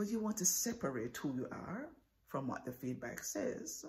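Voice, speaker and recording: A woman speaks with very wide swings in pitch. Her voice carries vocal fry. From Jamaica. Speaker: professor. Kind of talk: persuasive speech.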